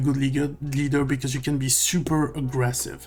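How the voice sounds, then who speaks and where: With a non-native accent, a man talks at a moderate pace in a fairly high pitch, faint music playing in the background. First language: not English. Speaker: card opening video creator. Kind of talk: card pack opening commentary. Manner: hesitant, many fillers. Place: home room.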